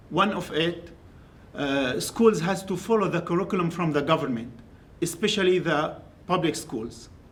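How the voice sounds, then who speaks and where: Through audible room echo, a man in an Arabic accent speaks at a moderate pace with a high pitch and ordinary pitch variation. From Syria. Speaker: graduate student. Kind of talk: academic presentation. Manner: halting.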